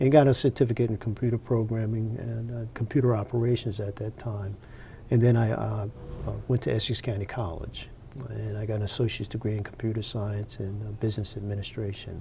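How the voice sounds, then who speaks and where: A man speaks at a fairly quick pace with a New Jersey accent, his fairly low pitch held in a fairly even intonation. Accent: New Jersey American. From New Jersey, Montclair. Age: 60s. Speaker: retired computer professional. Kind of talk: interview. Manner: halting, many fillers.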